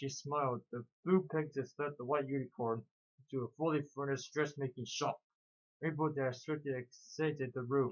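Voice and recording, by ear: A natural voice reads aloud with fairly even intonation while the background stays quiet.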